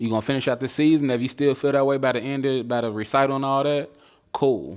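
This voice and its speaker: A man with an American accent at medium pitch and a very fast pace, on a very clean recording with a silent background. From Chicago. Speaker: photographer. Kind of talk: interview. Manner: halting, many restarts.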